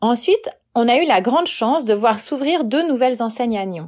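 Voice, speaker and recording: The recording is very clean, with a silent background. A woman with a high pitch and lively intonation talks at a moderate pace. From Switzerland, Valais. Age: 40s. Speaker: freelance writer and translator. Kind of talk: prepared talk, read monologue.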